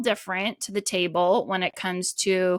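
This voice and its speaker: Bright, sharp and animated tone at a fairly slow pace, with a dry, close sound and no echo. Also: woman. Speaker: podcast host. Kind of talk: solo podcast talk.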